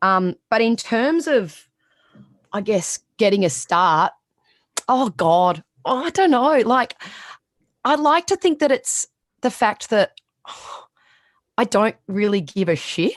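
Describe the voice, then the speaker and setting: With a strong Australian accent, a woman talks at a fairly slow pace, her pitch swinging very widely and her speech broken by long, frequent pauses. The sound is dry and close with no echo, against a quiet background. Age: 30s. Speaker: sports reporter. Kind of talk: podcast interview.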